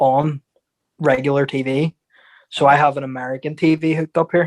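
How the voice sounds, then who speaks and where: A man talks at a fairly quick pace with an Irish accent. His intonation is monotone and flat, and the sound is dry and close with no echo. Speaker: boxer and football fan. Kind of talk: casual chat.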